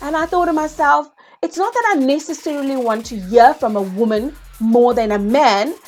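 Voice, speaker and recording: A woman with a high-pitched voice speaks at a moderate pace, her tone animated and her intonation lively. Music plays in the background. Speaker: property investing educator, YouTuber. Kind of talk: vlog monologue.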